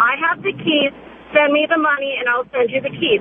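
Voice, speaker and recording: A woman with a high pitch speaks in an animated tone at a moderate pace, with ordinary pitch variation, over noticeable background noise. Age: 30s. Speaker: caller. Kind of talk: radio call-in. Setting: phone call.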